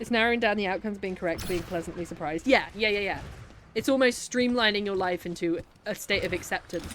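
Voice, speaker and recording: This woman talks at a very fast pace in a Birmingham accent. Her pitch is medium, with ordinary pitch variation. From Birmingham, England. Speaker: streamer. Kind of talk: casual chat while gaming. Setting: live stream.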